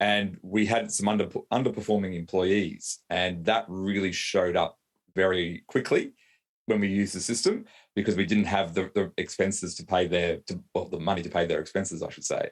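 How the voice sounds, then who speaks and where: In an Australian accent, a man speaks at a moderate pace with a fairly low pitch and fairly even intonation, in a very clean recording with a silent background. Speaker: lawyer and business owner. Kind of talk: interview. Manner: hesitant, many fillers and repeats.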